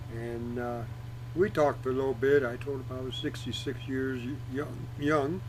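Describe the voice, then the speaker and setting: A man speaks at a moderate pace. The room echo is audible. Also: medium pitch for a man, fairly even intonation. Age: 60s. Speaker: retired Marine veteran. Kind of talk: personal vlog monologue. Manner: casual, with hesitations.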